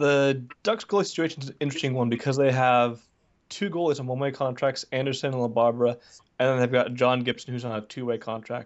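A man with an American accent, medium pitch, ordinary pitch variation and a very fast pace. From Southern California. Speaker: hockey blogger. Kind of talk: podcast interview.

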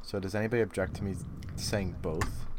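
A man's fairly low, ordinary speaking voice at a fairly quick pace, with ordinary pitch variation. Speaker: podcast co-host leading the episode. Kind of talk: casual chat.

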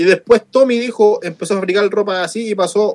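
A man in a Chilean accent speaks with ordinary pitch variation. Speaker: radio show co-host. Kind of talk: news reading; casual chat. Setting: studio.

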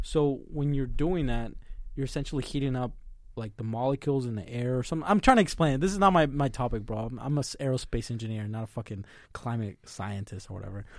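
Talking at a very fast pace with lively intonation, a man with a Spanish accent speaks at medium pitch on a very clean recording with a silent background. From Mexico. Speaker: podcast co-host, college student. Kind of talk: casual chat.

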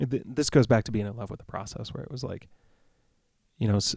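A man's fairly low, fry-tinged voice in an American accent, very fast and fairly even in intonation. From US Midwest, Rockford, Illinois. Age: 30s. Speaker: singer-songwriter. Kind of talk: casual chat.

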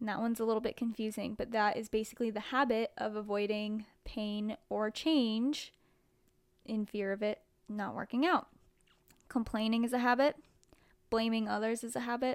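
The speech moves at a moderate pace with fairly even intonation and long, frequent pauses. The recording is very clean, with a silent background. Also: woman, fairly high pitch for a woman. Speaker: fitness podcast host. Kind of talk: solo podcast monologue.

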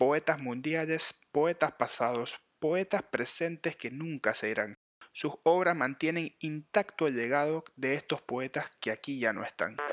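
In a very clean recording with a silent background, a man with a fairly high pitch speaks at a fairly slow pace in a playful tone, with ordinary pitch variation. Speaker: podcast host. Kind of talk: rhymed spoken-word poem. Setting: podcast recording. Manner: playful, rhythmic sing-song delivery with emphasis on rhymes.

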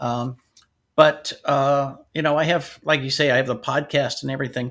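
Fairly high pitch for a man, an unremarkable speaking voice, a moderate pace and fairly even intonation. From US, North Dakota and Washington State. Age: 60s. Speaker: IT business owner and author. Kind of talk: interview.

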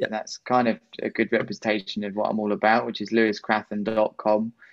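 A man speaks in a southern English accent at a medium pitch. His pace is moderate and his intonation fairly even. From southern England, Worthing (West Sussex). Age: 30s. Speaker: pro kitesurfer and motivational speaker. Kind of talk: casual interview.

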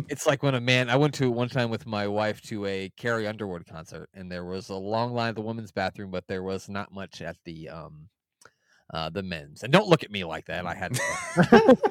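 A normal speaking voice from a man, fairly low in pitch with ordinary pitch variation, moderate pace and big swings in loudness, dry and close with no echo, in a very clean recording over a silent background. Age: 30s. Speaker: wrestling podcast guest. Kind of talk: casual chat.

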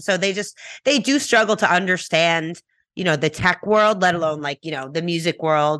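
The background is quiet. A woman talks at a medium pitch with a New York accent. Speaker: musician and tech entrepreneur. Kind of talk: interview. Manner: fast.

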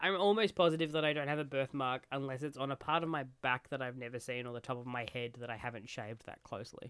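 This man talks at a very fast pace. He hardly pauses at all. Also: medium pitch for a man, ordinary pitch variation. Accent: Australian. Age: 20s. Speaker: podcast guest. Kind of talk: casual chat.

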